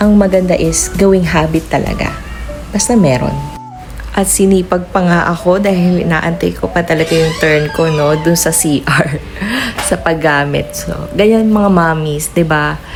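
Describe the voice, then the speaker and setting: Music plays in the background as a woman speaks in a fairly low pitch, with audible room echo. Her intonation is fairly even and her pace fairly slow. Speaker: mom vlogger. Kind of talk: casual vlog narration.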